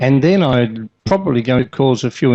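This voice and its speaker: A man's medium-pitched voice with lively intonation. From Australia. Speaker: conference keynote speaker, healthcare manager. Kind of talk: conference lecture.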